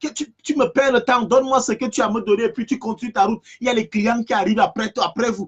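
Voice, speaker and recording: A man talks at a very fast pace with an extremely high pitch and fairly even intonation. The sound is dry and close, with no echo. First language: African language, not French (speaking French). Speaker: preacher. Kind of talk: sermon.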